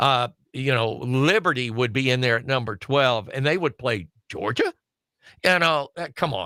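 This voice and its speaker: With a Southern US accent, a man talks at a moderate pace in a bright, sharp tone. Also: medium pitch for a man, ordinary pitch variation, dry, close sound with no echo, very clean recording, silent background. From Alabama, US South. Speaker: wrestling show panelist. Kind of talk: casual chat.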